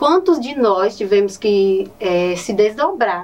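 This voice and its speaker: A woman speaks with a northeastern Brazilian accent. There is noticeable background noise. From Ceará, Brazil (Nova Olinda, Cariri). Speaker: teacher. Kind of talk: interview.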